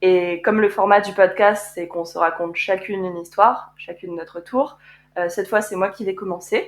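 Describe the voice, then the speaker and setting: The pace of this woman's speech is moderate. She sits at a medium pitch. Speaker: podcast co-host, art conservator-restorer. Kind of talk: casual chat. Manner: halting.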